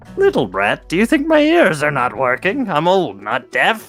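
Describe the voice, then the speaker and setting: Someone uses a put-on character voice at a middle pitch and a moderate pace. Faint music plays in the background. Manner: scolding.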